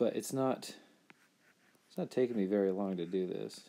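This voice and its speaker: Quiet and fairly low in pitch, a man speaks at a moderate pace with a dark, mellow tone and ordinary pitch variation. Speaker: artist streaming a drawing session. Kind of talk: live-stream drawing commentary. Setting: live stream, lying against a beanbag chair. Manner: halting.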